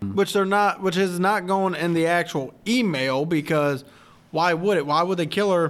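Speaking at a fairly quick pace, a man has a high pitch and ordinary pitch variation. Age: 30s. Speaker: movie podcast co-host. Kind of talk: casual chat.

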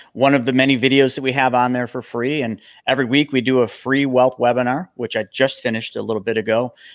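On a very clean recording with a silent background, a man uses an ordinary speaking voice at a medium pitch, a fairly quick pace and fairly even intonation. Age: 40s. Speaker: financial coach and former pro snowboarder. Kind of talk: interview.

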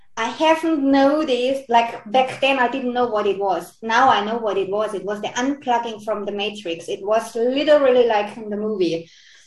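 Noticeable background noise sits behind a woman's fairly high-pitched voice. She speaks with hardly any pauses and ordinary pitch variation. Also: moderate pace. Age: 40s. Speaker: spiritual coach. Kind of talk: interview. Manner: halting.

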